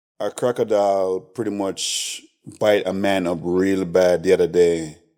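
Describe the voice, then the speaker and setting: Flat and monotone, a man speaks at a fairly slow pace in a very deep, low voice with a dark, mellow tone. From Jamaica. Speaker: chef and restaurant owner. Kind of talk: casual interview chat.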